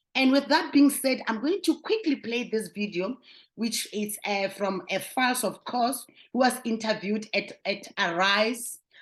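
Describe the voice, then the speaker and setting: A woman talks at a fairly slow pace in a fairly high, somewhat breathy voice. Her pitch moves in an ordinary way. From South Africa. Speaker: vlogger. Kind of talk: casual commentary to camera.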